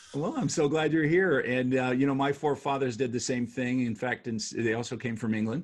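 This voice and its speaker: A man with an American accent and an ordinary speaking voice talks fairly quickly at a medium pitch, with hardly any pauses. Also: ordinary pitch variation. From United States. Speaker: podcast host and author. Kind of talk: casual interview chat.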